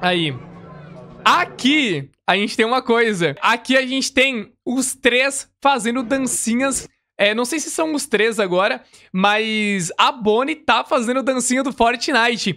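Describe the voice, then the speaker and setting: A man with a Brazilian accent speaks in an extremely high pitch and a bright, sharp tone, his voice raised and projected. He talks at a very slow pace with ordinary pitch variation. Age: 20s. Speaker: gaming youtuber; gaming reactor. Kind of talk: gameplay reaction commentary. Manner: casual, many filler words.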